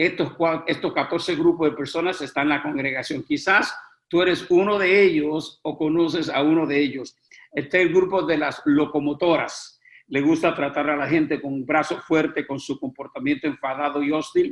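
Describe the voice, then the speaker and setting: At a moderate pace, a man with an ordinary speaking voice talks at a fairly high pitch, his intonation fairly even. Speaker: preaching instructor. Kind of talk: lecture.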